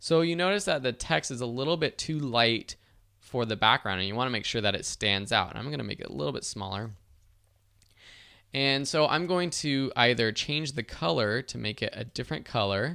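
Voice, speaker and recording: A medium-pitched man with a bright, sharp tone and vocal fry. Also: lively intonation, moderate pace, very clean recording, silent background. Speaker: online course instructor. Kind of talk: tutorial.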